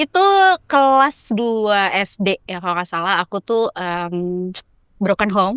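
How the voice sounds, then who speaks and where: Speaking very slowly with a Jakarta accent, a woman keeps a medium pitch and ordinary pitch variation. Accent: Jakarta Indonesian. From Jakarta, Indonesia. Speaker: traveller. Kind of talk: casual chat.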